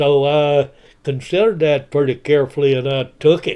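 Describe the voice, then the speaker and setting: Fairly slow and with fairly even intonation, a man speaks in a West Texas accent. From Texas, Lubbock area. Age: 90s. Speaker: retired broadcaster and YouTuber. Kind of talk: personal life story monologue. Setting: self-recorded home video. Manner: halting, many filler words.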